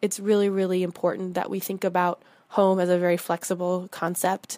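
In an American accent, the voice moves at a fairly quick pace with a dark, mellow tone. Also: woman. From eastern North Carolina, small town. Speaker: audio diary contributor. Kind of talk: personal audio diary.

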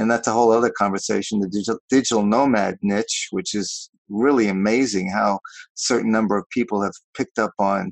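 Delivered at a fairly quick pace, this is a plain, everyday voice with an American accent. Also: man. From New York. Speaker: business founder and vacation rental host. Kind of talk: interview.

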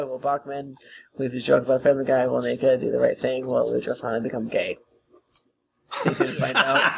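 Using a raspy, put-on character voice at medium pitch, a man races along at a very fast pace, broken by long, frequent pauses. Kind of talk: theatrical announcer. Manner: big announcer voice.

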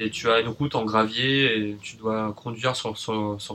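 The man's voice has a bright, sharp tone at a medium pitch. His intonation is monotone and flat. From Paris, France. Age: 30s. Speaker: nurse and traveller. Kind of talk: casual interview.

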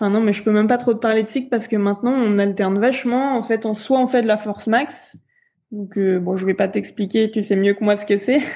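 At a fairly quick pace, a woman speaks in a fairly high, dark and mellow voice with fairly even intonation. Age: 20s. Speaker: elite sprint kayaker. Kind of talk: interview.

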